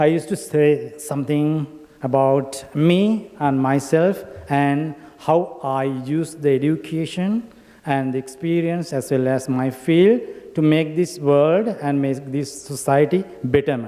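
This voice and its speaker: A fairly slow Sri Lankan accent with ordinary pitch variation, over noticeable background noise. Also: man, fairly high pitch for a man. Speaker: academic and industry professional. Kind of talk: conference speech. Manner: halting.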